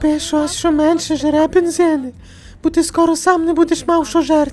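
A put-on character voice speaks at a high pitch and a moderate pace. Clear background noise sits behind it. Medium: fan dub. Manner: scolding, sarcastic.

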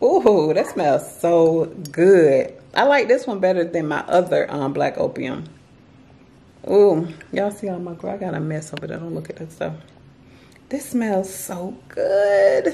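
A woman speaks with a dark, mellow tone and a fairly low pitch. Her intonation is lively, with vocal fry. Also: fairly slow pace.

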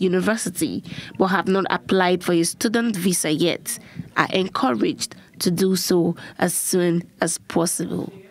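With noticeable background noise around her, a woman talks at a medium pitch with ordinary pitch variation. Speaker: news correspondent. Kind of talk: news report. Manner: formal.

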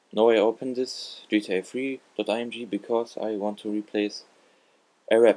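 In a non-native accent, the speaker uses a dark, mellow tone and fairly even intonation. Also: man. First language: not English. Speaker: gaming tutorial YouTuber. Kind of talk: tutorial. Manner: halting.

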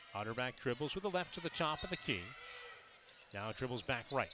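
Over noticeable background noise, a man talks at a fairly quick pace in an animated tone with lively intonation, the sound dry with no echo. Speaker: radio play-by-play announcer. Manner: fast talker, animated, rising excitement on big shots; short punchy phrases, building to a celebratory finish. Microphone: headset.

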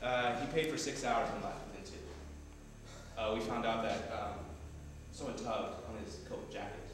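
Moderately paced speech with strong room echo and noticeable background noise. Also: man. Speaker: tour guide. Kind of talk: storytelling tour explanation. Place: empty room. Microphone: camera far.

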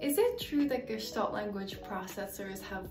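Clear background music under a woman's voice. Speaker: educator on language development. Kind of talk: educational explainer. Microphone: earbuds.

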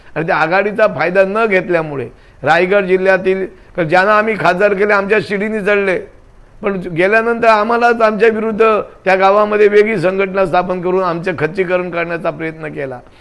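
The man's voice sits high, and its pitch varies in an ordinary way. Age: 60s. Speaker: former state legislator. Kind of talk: news interview.

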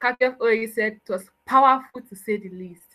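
The woman's voice has a bright, sharp tone. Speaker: event host/MC; event host, MC. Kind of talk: event hosting. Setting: video call. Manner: enthusiastic. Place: home room.

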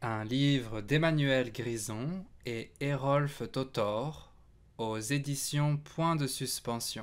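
At a very slow pace, a man talks in a medium-pitched voice with ordinary pitch variation. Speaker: storybook reader. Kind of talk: bedtime story reading aloud to children, picture book narration. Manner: gentle, unhurried, playful storyteller; animated, sound effects on 'zic zic zic'.

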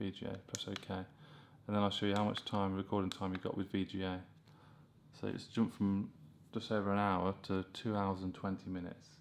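With light background noise behind him, a man talks at a fairly quick pace in a very deep, low pitch and a monotone, flat intonation. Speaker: tech reviewer. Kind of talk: tutorial. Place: home room.

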